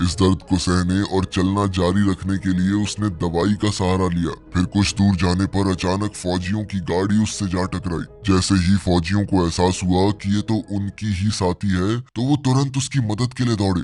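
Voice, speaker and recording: A man speaks with a very deep, low pitch. His loudness stays very even at a moderate pace. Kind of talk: movie explanation voice-over. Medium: read story. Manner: suspense-building storytelling.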